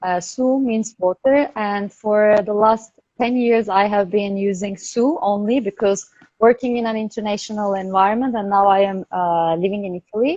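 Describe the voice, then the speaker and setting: Moderate-paced speech in a Turkish accent, with a dark, mellow tone and ordinary pitch variation. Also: woman, medium pitch for a woman. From Turkey. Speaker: product service system designer. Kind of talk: interview.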